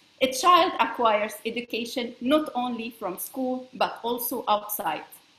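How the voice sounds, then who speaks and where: This woman speaks with a French accent at a high pitch. Her pace is fairly slow, with ordinary pitch variation. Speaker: space law expert. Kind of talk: presentation. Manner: halting.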